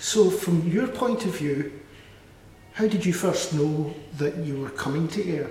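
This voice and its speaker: A man with a Scottish accent speaks at a high pitch and a fairly slow pace, with ordinary pitch variation and long, frequent pauses. Noticeable background noise and audible room echo are present. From Scotland. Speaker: club media interviewer. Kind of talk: casual interview chat.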